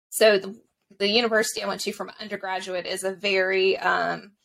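Fairly quick speech from a woman with an American accent. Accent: mild Southern, watered down. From US South, Mississippi Gulf Coast. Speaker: history blogger and podcaster. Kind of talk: casual interview.

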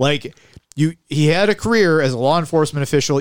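A man's fairly quick, animated delivery with a Western New York accent and a fairly high pitch. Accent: Western New York (Inland North) American. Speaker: podcast co-host. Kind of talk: casual chat.

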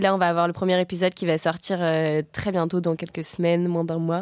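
A woman's fairly low voice at a moderate pace, fairly even in intonation, an unremarkable speaking voice on a very clean recording with a silent background. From France, Savoie. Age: 20s. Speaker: climate activist. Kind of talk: casual chat.

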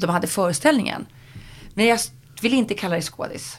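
A woman's medium-pitched, somewhat breathy voice with very wide pitch swings. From Sweden, Sundsvall (Medelpad). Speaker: TV presenter and moderator. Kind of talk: casual interview.

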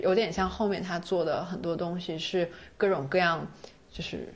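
The speech moves at a moderate pace. There is audible room echo. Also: woman. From China. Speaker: doctoral student and freelance writer. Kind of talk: casual chat.

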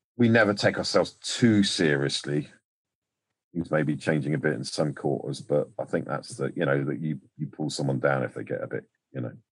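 With an English accent and vocal fry, the voice moves at a moderate pace with lively intonation. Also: man. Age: 60s. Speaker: actor. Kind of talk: casual chat.

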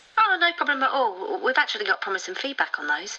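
A woman uses a put-on character voice with a bright, sharp tone, fairly high pitch, big pitch swings and a fast pace.

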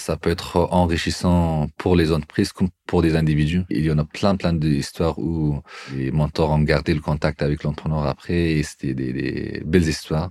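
Dry and close with no echo, a man's very deep, low voice carries a dark, mellow tone at a moderate pace with fairly even intonation. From Afghanistan. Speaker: incubator coordinator. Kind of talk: interview.

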